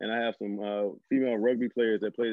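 In a Southern US accent, a man talks very fast at a fairly low pitch with monotone, flat intonation. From northern Louisiana. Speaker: high school football coach. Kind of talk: casual interview.

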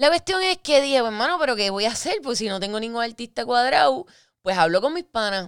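Animated in tone, a woman speaks at a fairly high pitch with very wide pitch swings. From Puerto Rico (Guaynabo and Fajardo). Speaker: podcast host. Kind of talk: casual chat.

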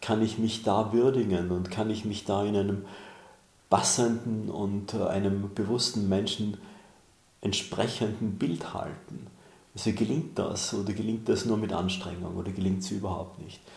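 A man's fairly low, somewhat breathy voice, fairly slow and fairly even in intonation, with audible room echo. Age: 60s. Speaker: author and mentor. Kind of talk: interview.

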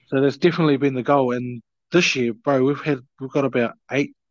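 A man in a New Zealand accent talks at medium pitch with ordinary pitch variation. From New Zealand, Taranaki. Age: 30s. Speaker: rugby league player. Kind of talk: casual chat.

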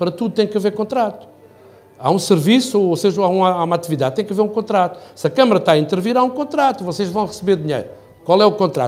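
A high-voiced man speaks at a very fast pace with lively intonation over noticeable background noise. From Portugal, Algarve (Faro). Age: 60s. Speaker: architect and mayoral candidate. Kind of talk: interview.

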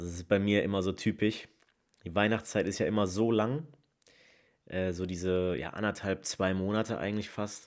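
A man with a fairly low pitch speaks at a moderate pace on a very clean recording with a silent background. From Rhineland, Leverkusen. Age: 20s. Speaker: podcast host. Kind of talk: casual monologue.

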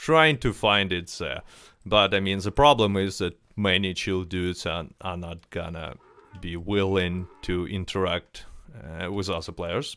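A man with a non-native accent and a very deep, low pitch talks at a fairly slow pace with ordinary pitch variation. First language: not English. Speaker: podcast host. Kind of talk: casual chat. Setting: live stream while gaming. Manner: halting.

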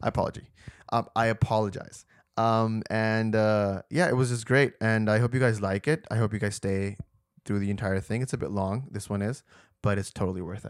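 This man has an unremarkable speaking voice, fairly low in pitch with fairly even intonation. He talks at a fairly quick pace on a very clean recording with a silent background. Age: 20s. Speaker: podcast host. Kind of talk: casual chat.

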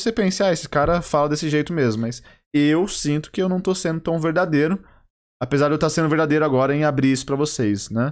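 Delivered at a very fast pace and at very even loudness, the speech sits in a very clean recording with a silent background. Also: man. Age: 20s. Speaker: podcast host. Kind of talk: solo comedic monologue. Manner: exaggerated presenter tone, rolled R.

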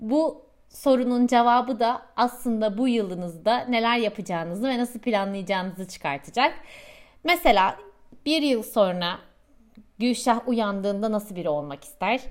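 A woman's fairly high, lively voice, a normal speaking voice, at a moderate pace. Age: 30s. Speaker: podcast host and coach. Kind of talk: monologue with self-help tips.

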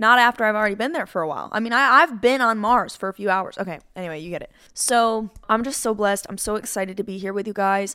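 A woman with a fairly high, bright, sharp voice talks very fast in an animated tone, with hardly any pauses and big swings in loudness. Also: ordinary pitch variation, very clean recording, silent background. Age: 20s. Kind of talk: casual faith talk monologue.

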